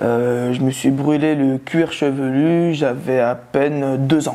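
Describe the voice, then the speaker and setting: A man talks with fairly even intonation while noticeable background noise fills the recording. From Tunis and Aubervilliers (Paris suburbs). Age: 20s. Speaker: magician and comedian. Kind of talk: interview testimony. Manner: hesitant, many fillers.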